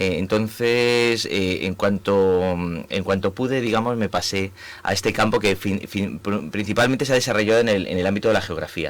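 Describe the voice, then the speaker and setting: At a moderate pace, a man with a Spanish accent speaks at a fairly low pitch with fairly even intonation. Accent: Spanish (Spain). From Spain. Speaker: urban planning professor. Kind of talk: radio interview. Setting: radio studio. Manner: halting, many fillers.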